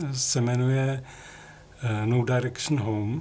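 Very slow speech from a man at medium pitch, with ordinary pitch variation. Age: old. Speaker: music photographer. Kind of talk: interview.

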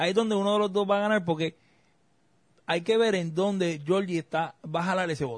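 High-pitched male speech at a fairly quick clip, its pitch varying in an ordinary way. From Puerto Rico. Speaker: political scientist podcast host. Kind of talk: casual chat.

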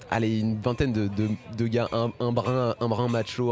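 Music plays in the background. A man of medium pitch speaks in a monotone, flat intonation. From France, Paris. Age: 20s. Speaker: stand-up comedian and podcast host. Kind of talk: casual chat. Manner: hesitant, many repetitions.

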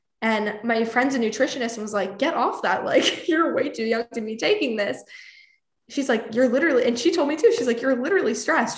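At a fairly quick pace, a woman with an unremarkable speaking voice talks in a fairly high register with lively intonation. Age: 20s. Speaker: actress, influencer and music PR consultant. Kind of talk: casual interview.

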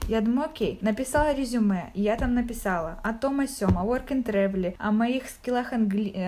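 Over noticeable background noise, a woman with a fairly high voice talks at a moderate pace with hardly any pauses, ordinary pitch variation and very even loudness. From Ukraine, Zaporizhzhia. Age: 20s. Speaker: podcast guest, corporate manager. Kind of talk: casual chat. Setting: call.

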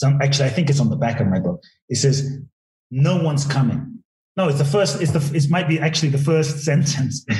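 Somewhat breathy, with a dark, mellow tone, very even loudness, and a fairly quick pace. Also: man, fairly high pitch for a man, ordinary pitch variation. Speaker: inspirational speaker and author. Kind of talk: casual interview chat.

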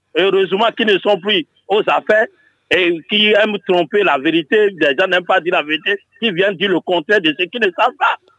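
A man talks at a fairly quick pace with a high pitch and ordinary pitch variation. His loudness stays very even. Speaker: caller, opinion leader. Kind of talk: radio phone-in call.

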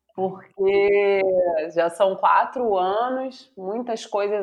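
A woman talks at a very slow tempo, her pitch varying in an ordinary way. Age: 40s. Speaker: university professor. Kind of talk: interview conversation.

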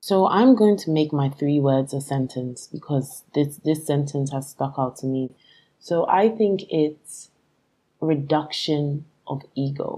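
Very slow speech comes in a dark, mellow tone with ordinary pitch variation. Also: woman, very deep, low pitch for a woman. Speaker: company founder. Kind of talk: panel discussion.

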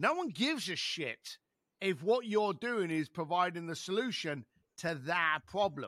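On a very clean recording with a silent background, a man speaks at a moderate pace in a high, bright, sharp voice with lively intonation. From East London. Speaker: author and speaker. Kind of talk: casual interview.

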